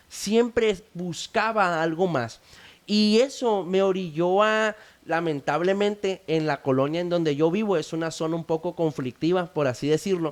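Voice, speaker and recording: A high-pitched man with ordinary pitch variation. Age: 20s. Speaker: founder of addiction recovery initiative. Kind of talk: testimony.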